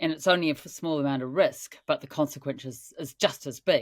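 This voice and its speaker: This woman is heard on a very clean recording against a silent background. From New Zealand. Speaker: mountaineer and mountain guide. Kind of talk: interview answer.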